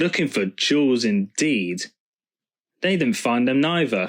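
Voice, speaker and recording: A rumbling, put-on character voice from a man at medium pitch and a fairly slow pace. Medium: read story. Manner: grumbling, peevish.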